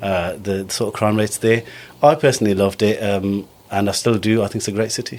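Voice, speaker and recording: A man with a Birmingham accent speaks very fast in a fairly low pitch. His intonation stays fairly even. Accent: Birmingham (Brummie) English. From Birmingham, England (Small Heath). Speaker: entrepreneur. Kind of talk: podcast interview.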